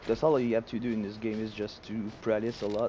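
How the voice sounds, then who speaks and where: Speaking at a fairly quick pace with flat, monotone intonation and a strong Quebec accent, the voice comes over noticeable background noise. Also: man. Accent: thick French Canadian. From Quebec, Quebec City. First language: French. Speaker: gaming streamer. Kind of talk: live gameplay stream commentary. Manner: halting, frequent repetitions and fillers.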